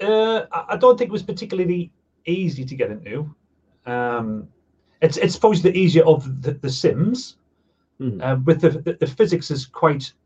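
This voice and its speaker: A man speaks in a Sunderland accent at a high pitch. His pitch swings very widely, and his pace is moderate. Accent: Sunderland (Mackem). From northeast England, Sunderland. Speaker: online car magazine founder. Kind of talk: casual interview chat.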